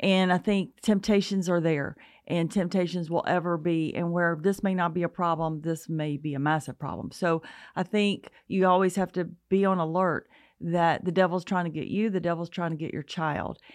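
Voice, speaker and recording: A woman with an Alabama accent, fairly low in pitch, at a moderate pace with fairly even intonation, against a quiet background. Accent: Southern US, Alabama. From US South, North Alabama. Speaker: parenting speaker. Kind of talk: casual interview.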